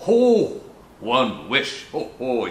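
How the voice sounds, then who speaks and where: A gruff, high-pitched put-on character voice from a man. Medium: read story. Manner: gruff, grumbling.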